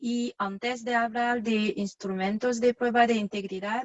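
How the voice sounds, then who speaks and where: A woman with a non-native accent speaks at a very slow pace. Her voice is fairly high, with ordinary pitch variation. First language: not Spanish (speaking Spanish). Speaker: marketing manager. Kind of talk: corporate presentation. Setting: online webinar.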